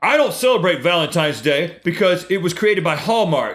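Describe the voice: A gruff put-on character voice talks at a fairly quick pace with lively intonation. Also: man, high pitch for a man.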